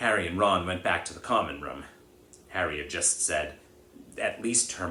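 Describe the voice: Text delivered as plain reading aloud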